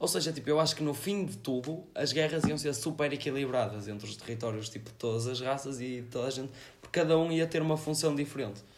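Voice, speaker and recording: A man's fairly high voice at a very fast pace, ordinary pitch variation, hardly any pauses, and audible room echo. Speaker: amateur surf instructor. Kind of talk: casual chat.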